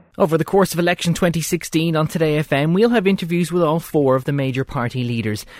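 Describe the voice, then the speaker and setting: In an Irish accent, a man talks very fast with lively intonation, the recording very clean with a silent background and a dry, close sound with no echo. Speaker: radio journalist. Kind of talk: political interview.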